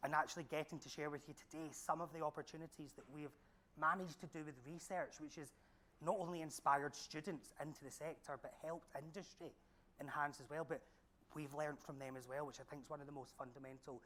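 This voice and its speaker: A man speaks with a strong Glaswegian accent at a very fast pace, his fairly high voice bright and sharp. His intonation is fairly even, but his loudness swings widely. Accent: thick Glaswegian Scottish. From Scotland, Glasgow. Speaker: senior lecturer. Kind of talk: panel talk.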